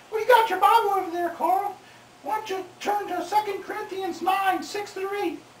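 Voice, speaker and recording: The cartoonish character voice has an extremely high pitch. It moves at a moderate pace. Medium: puppet.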